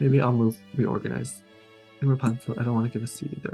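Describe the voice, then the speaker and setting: Over music in the background, a soft-spoken man talks at a fairly quick pace. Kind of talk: casual talk to camera.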